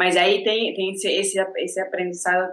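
A woman with an Argentine accent at medium pitch and moderate pace. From Argentina. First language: Spanish (speaking Portuguese). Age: 30s. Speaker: ceramics teacher. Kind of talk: casual interview chat.

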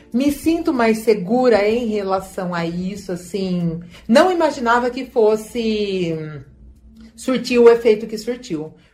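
Speaking very slowly, a woman keeps her voice at a medium pitch. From Brazil, São Paulo state (Leme). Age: 40s. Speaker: healthcare worker. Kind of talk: testimony. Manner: halting.

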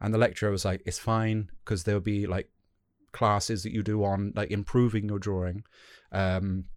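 A fairly low-pitched man's voice with a British accent at a fairly quick pace. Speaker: podcast host. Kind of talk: casual interview. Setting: remote call.

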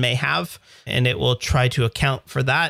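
At a moderate pace, a man with a Canadian accent speaks with vocal fry. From Canada. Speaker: podcast host and web developer. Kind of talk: casual chat, technical discussion.

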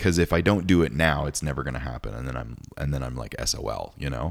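Talking at a fairly quick pace with ordinary pitch variation, a man speaks with vocal fry. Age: 30s. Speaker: podcast host. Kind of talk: casual chat.

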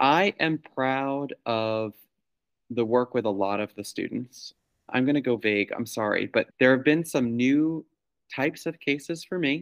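An unremarkable speaking voice with an American accent, fairly slow pace and ordinary pitch variation, dry and close with no echo. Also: man, medium pitch for a man. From New York. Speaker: school-based clinician and podcast host. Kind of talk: casual chat.

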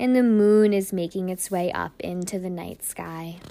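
A woman speaks in an unremarkable speaking voice at a medium pitch. Her pace is fairly slow and her intonation fairly even. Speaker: podcast host and meditation guide. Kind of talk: guided meditation, second-person visualization journey. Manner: slow, soothing, gently paced with breath cues; soft-spoken, dreamy imagery-laden narration.

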